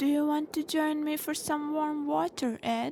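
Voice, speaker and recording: A female-sounding, put-on character voice with a high pitch. It moves at a moderate pace. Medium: read story.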